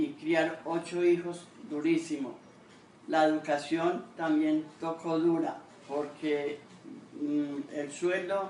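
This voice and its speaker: A woman speaks at a very slow pace, her pitch very deep and low. Her intonation stays fairly even, broken by long, frequent pauses. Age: 70s. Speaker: grandmother interviewee. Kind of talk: interview testimony. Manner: halting.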